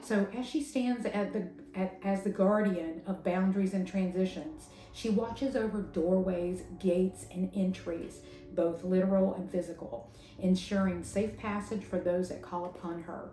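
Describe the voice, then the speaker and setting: With music in the background, a woman in a strong Southern US accent speaks at a moderate pace in a medium pitch with ordinary pitch variation. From US South. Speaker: tarot and pagan spirituality content creator. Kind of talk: educational talk. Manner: casual, hesitant with fillers.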